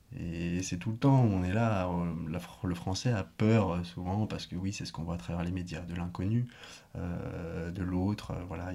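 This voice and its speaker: A man's very deep, low voice at a fairly slow pace. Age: 20s. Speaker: sustainable tourism association founder and trainer. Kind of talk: interview. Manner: hesitant, many fillers.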